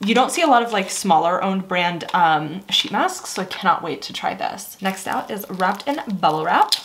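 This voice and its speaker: A woman talks at a moderate pace with lively intonation and hardly any pauses. Light background noise is present. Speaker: beauty subscription box reviewer. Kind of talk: casual vlog chat. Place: home room.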